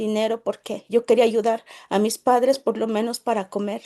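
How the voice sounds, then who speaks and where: Against a quiet background, a voice with a Mexican accent and a dark, mellow tone moves at a moderate pace with fairly even intonation. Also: woman. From Mexico, Puebla state (rural Nahuatl-speaking village). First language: Nahuatl (speaking Spanish). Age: 30s. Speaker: network marketing leader. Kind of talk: personal testimony. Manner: halting, with repetitions.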